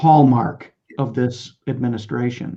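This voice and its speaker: The speech comes at a very slow pace with ordinary pitch variation. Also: man. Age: old. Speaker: festival discussion host. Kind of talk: panel discussion. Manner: hesitant, many fillers.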